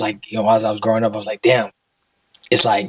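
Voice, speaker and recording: A man speaks at a medium pitch. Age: 20s. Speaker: podcast guest, small business owner. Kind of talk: casual chat. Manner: halting.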